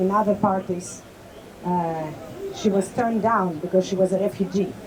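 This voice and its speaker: Over noticeable background noise, a woman with a Greek accent speaks at a moderate pace and a medium pitch. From Greece. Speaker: party vice chair, political speaker. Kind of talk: rally speech. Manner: halting, with fillers.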